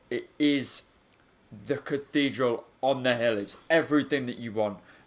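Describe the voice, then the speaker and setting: A man with a Yorkshire accent, talking at a moderate pace. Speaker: football podcast co-host. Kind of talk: casual chat.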